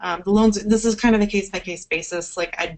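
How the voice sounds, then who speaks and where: A woman speaks here. Her intonation stays flat and monotone. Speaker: webinar presenter on farm credit. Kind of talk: webinar presentation. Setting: online webinar. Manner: fast.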